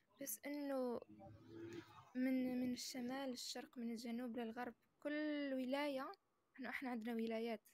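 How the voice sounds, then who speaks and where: At a fairly slow pace, a woman speaks in a high pitch with monotone, flat intonation. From Algeria, Amazigh (Berber) background. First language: Amazigh (Berber) (speaking Arabic). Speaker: social media chat guest. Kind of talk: casual chat. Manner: hesitant, many fillers and restarts.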